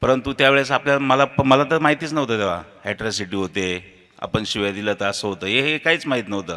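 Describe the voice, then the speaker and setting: This man has a bright, sharp tone and lively intonation. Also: medium pitch for a man. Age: 40s. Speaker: local politician and engineer. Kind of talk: memorial speech.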